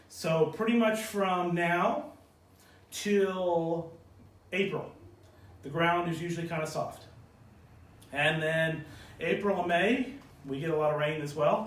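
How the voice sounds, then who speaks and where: This man speaks at a high pitch with ordinary pitch variation, and audible room echo surrounds him. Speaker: golf instructor. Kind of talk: live video Q&A tutorial. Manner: casual, with fillers.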